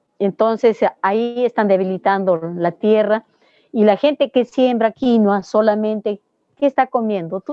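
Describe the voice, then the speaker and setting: A woman speaks in a normal speaking voice, fairly high-pitched, at a fairly slow pace. Her loudness stays very even, and her pitch varies in an ordinary way. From Peru. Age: 60s. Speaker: organic dairy farmer and agronomist. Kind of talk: interview answer.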